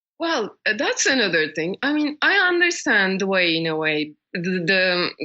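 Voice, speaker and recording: Delivered at a fairly slow pace in a Turkish accent, the voice makes very wide pitch swings. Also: woman. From Turkey. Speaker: world traveler and activist. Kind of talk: interview. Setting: podcast interview.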